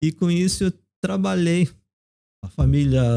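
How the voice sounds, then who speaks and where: The man's voice has a dark, mellow tone and very wide pitch swings, recorded with a dry, close sound and no echo. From South Korea, raised in Brazil from age 9. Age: 50s. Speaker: theologian and professor. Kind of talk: casual interview.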